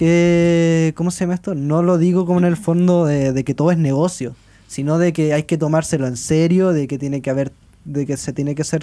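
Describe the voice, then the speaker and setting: With a Chilean accent, a man speaks fairly quickly in a fairly high pitch, his dark, mellow tone held to a monotone, flat intonation. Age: 20s. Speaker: journalist and musician. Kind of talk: casual chat.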